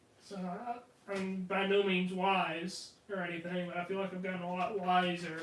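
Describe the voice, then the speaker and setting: With hardly any pauses, a man talks at a moderate pace and a high pitch in a monotone, flat intonation, over noticeable background noise and audible room echo. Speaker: podcast co-host. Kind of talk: casual chat.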